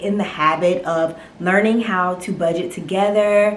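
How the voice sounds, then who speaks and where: Speaking with an ordinary speaking voice, a woman with an American accent talks at a moderate pace and medium pitch with fairly even intonation. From North Carolina. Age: 20s. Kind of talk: casual talk to camera.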